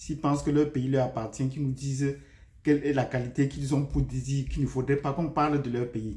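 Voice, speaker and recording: In a Cameroonian accent, a man speaks at a fairly quick pace with a medium pitch, a somewhat breathy voice and flat, monotone intonation. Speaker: YouTube commentator and teacher. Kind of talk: video commentary. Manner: hesitant, with frequent fillers.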